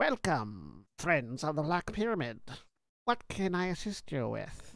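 Using a put-on character voice, a man speaks fairly slowly at a fairly high pitch in a very clean recording with a silent background. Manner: polite, welcoming.

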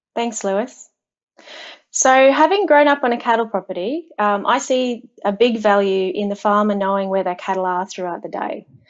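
A woman with an Australian accent, moderate pace and ordinary pitch variation against a quiet background. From Australia, central Queensland. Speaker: agtech data and software lead; guest. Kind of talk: interview. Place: home room.

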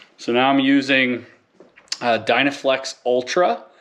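A man speaks at a very slow pace. Noticeable background noise runs under his voice. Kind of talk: casual tutorial vlog. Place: garage. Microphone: phone near.

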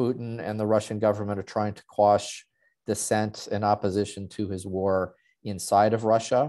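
Here is a man with a fairly low pitch. His tone is dark and mellow, and his pace is fairly slow. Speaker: arms control expert. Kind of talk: panel presentation. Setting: video call.

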